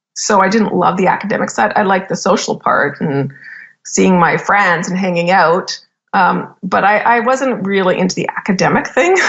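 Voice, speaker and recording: In a Canadian accent, a woman speaks at a moderate pace and medium pitch in a normal speaking voice, with ordinary pitch variation. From Canada. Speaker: business executive and podcast host. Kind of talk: interview. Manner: casual, filler-heavy speech.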